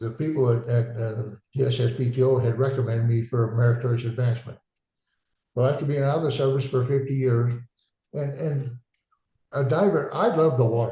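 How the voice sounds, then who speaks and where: With an American accent, a man speaks at a moderate pace in a dark, mellow, somewhat breathy tone, his intonation fairly even and broken by long, frequent pauses. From eastern Washington State, US. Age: 80s+. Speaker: war veteran. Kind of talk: interview. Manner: halting.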